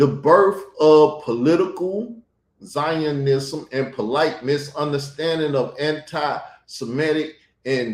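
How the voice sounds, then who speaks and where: At a very slow pace, a man speaks in a fairly high pitch. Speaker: YouTube commentator. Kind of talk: casual commentary.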